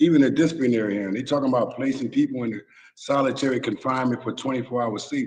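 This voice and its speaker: This man talks fairly quickly in an unremarkable speaking voice, his mid-range pitch showing ordinary variation. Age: 60s. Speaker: former prisoner and prison reform advocate. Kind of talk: interview. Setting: live stream.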